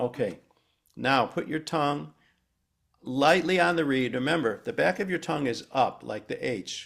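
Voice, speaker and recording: On a very clean recording with a silent background, a man talks at a moderate pace and medium pitch, with lively intonation and vocal fry. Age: 70s. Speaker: saxophone educator. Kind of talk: masterclass tutorial.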